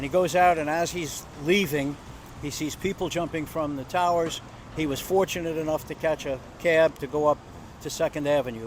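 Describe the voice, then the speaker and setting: Noticeable background noise sits behind a man speaking at a moderate pace. His voice is fairly high-pitched, with fairly even intonation. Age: 80s+. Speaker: local resident recalling 9/11. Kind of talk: casual interview, personal recollection.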